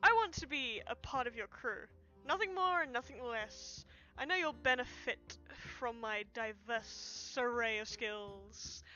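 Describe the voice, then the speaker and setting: A woman speaks in a put-on character voice with a high pitch, at a fairly slow pace. Clear music plays in the background. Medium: game stream. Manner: flattering, smooth.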